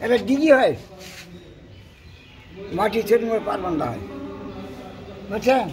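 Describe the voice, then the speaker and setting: A man speaks in a high pitch. His loudness swings widely, and there is noticeable background noise. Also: ordinary pitch variation. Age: 80s+. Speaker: elderly war witness. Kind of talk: interview answer, war memories.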